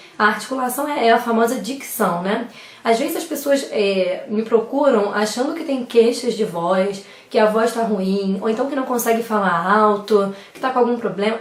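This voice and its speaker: The recording carries noticeable background noise. Audible room echo can be heard as well. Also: woman. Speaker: speech therapist giving public speaking tips. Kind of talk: tutorial. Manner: fast.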